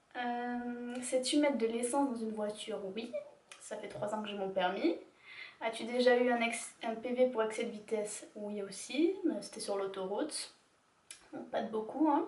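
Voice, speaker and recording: A woman with an ordinary speaking voice talks at a fairly slow pace, her fairly high pitch showing ordinary pitch variation and her loudness swinging widely. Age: 20s. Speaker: YouTuber. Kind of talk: casual talk to camera.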